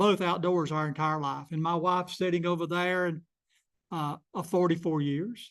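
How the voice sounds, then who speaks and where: Against a quiet background, a man with a South Carolina accent talks at a moderate pace in a high pitch. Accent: Southern US (South Carolina). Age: 70s. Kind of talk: public talk.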